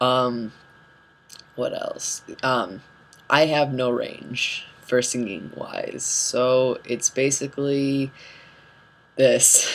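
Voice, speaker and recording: Over noticeable background noise, a man of medium pitch speaks at a very slow pace with fairly even intonation and long, frequent pauses. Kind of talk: casual vlog update. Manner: hesitant, many fillers.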